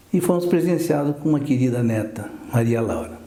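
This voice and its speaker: Audible room echo surrounds a man's voice. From southern Brazil, Porto União, Santa Catarina. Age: 70s. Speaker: orthopedic doctor. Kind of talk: TV interview.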